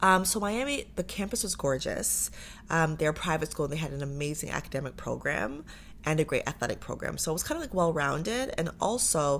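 Here is a woman with an Ontario accent. She speaks at a fairly quick pace. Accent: Canadian English (Ontario). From Canada, Pickering, Ontario (Durham Region). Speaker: former Olympic athlete and entrepreneur. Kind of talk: casual interview.

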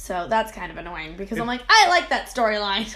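Over light background noise, a woman does a raspy put-on character voice at a fairly high pitch, moving fairly quickly with very wide pitch swings and big swings in loudness. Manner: mildly annoyed, wry.

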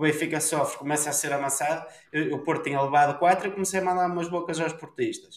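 Through audible room echo, a man talks at a very fast pace and high pitch with fairly even intonation. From northern Portugal, Ponte de Lima. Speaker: podcast co-host. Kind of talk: casual chat.

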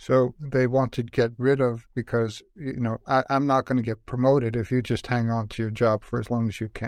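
At a moderate pace with hardly any pauses, a man talks at medium pitch in a flat monotone, the sound dry and close with no echo. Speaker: podcast host and coach. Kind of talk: interview. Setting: video call.

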